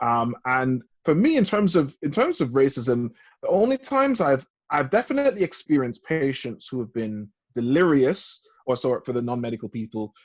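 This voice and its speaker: A man's fairly high-pitched, ordinary speaking voice at a moderate pace, with lively intonation. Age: 30s. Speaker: doctor. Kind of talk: casual chat.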